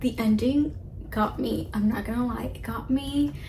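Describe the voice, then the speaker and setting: Audible room echo around a woman's voice, plus noticeable background noise. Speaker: booktuber. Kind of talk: casual vlog talk. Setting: in bed at night. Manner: animated; quiet, late at night.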